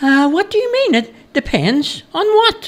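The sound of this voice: Using a put-on character voice, a man speaks at a fairly slow pace with an extremely high pitch and big pitch swings.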